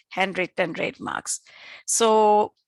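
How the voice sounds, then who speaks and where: A woman with a medium pitch is heard in a dry, close sound with no echo and a quiet background. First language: not English (English is third language). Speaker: professor and journal editor. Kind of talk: lecture. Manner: halting, many fillers.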